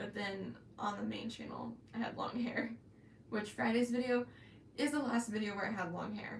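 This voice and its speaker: A woman's fairly quick speech with audible room echo and noticeable background noise. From Florida, US South. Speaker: crochet YouTuber. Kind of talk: live stream chat. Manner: hesitant, many ums and pauses; stutters at times.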